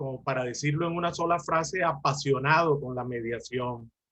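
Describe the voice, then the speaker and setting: This man has an unremarkable speaking voice. His pitch is fairly high, with ordinary variation. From Colombia. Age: 60s. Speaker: lawyer and mediator. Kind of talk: lecture.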